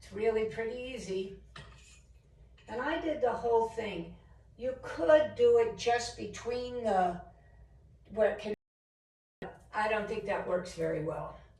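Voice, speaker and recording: The speech comes at a fairly slow pace, broken by long, frequent pauses. Loudness swings widely, pitch varies in an ordinary way, and room echo is audible. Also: woman. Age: 70s. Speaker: home decor DIY vlogger. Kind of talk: tutorial. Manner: casual, conversational.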